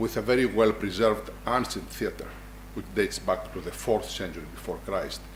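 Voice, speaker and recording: A man talks at an unhurried but not slow speed, and room echo is audible around him. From Greece, Larissa. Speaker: medical school dean, professor. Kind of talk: lecture. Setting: hall with audience. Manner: formal.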